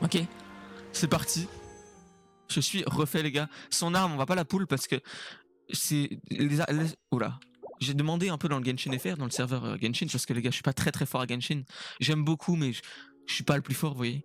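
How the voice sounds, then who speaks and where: A man with a fairly high voice speaks at a moderate pace. His pitch varies in an ordinary way, and he takes long, frequent pauses. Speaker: gaming YouTuber. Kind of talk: gaming commentary. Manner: loud; animated.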